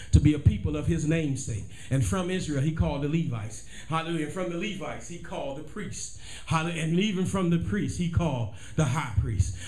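A man rattles along at a very fast pace with lively intonation. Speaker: pastor. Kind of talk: sermon. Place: church. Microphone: camera far.

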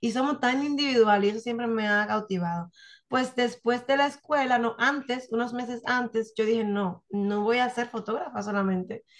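A woman with a fairly high voice talks at a moderate speed, her pitch varying in an ordinary way. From Dominican Republic, Santiago. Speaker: photographer and writer. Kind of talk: interview. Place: home room. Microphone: video call.

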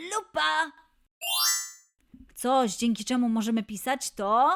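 Her pitch is high and swings very widely. The woman talks very slowly in an upbeat, playful tone. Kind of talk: children's quiz show host.

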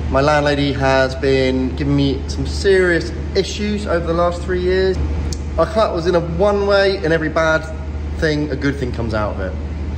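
A man speaks at a moderate pace with a very deep, low pitch and fairly even intonation. Noticeable background noise is present. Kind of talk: casual vlog chat. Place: workshop. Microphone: phone near.

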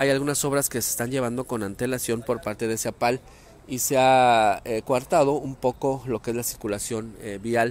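The speaker talks at a moderate pace with fairly even intonation. The sound is dry, with no echo. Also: man. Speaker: local news reporter. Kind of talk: live news report. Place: street. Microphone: phone near.

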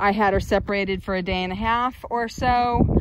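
The speech moves at a fairly slow pace. The sound is dry with no echo, though background noise is loud. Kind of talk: casual vlog chat. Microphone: phone near.

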